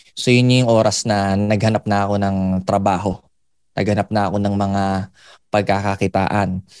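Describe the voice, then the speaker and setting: Over a quiet background, a man speaks in a monotone, flat way at a moderate pace, with long, frequent pauses. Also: fairly low pitch for a man. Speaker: motivational speaker. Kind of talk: testimony.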